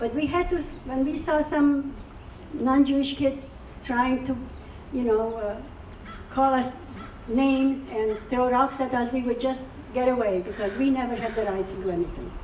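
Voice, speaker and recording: A woman speaks at a moderate pace with a high pitch, ordinary pitch variation, and long, frequent pauses. Noticeable background noise and audible room echo are present. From Czechoslovakia (now Ukraine), Carpathian village. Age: 80s+. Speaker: Holocaust survivor speaker. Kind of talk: testimony.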